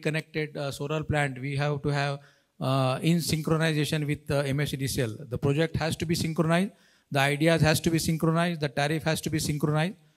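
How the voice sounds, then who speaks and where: Over a quiet background, a man talks at a moderate pace. His intonation stays monotone and flat. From India. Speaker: panel moderator. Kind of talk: panel moderation. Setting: stage with audience. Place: hall. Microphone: handheld.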